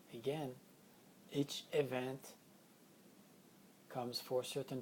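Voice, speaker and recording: A man with a non-native accent speaks at a fairly slow pace. His medium-pitched voice has a dark, mellow tone. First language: not English. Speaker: spiritual healing teacher. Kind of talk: spiritual teaching session. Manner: unscripted, occasional word searching.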